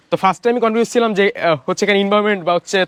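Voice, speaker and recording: A dry, close sound with no echo, plus ordinary pitch variation. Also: man. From Bangladesh, Madaripur. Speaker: student. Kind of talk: testimonial. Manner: halting.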